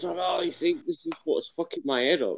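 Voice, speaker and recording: A man with a northern English accent speaks at a fairly slow pace. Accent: sounds northern English. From London, England. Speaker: caller on live panel. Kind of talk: casual chat.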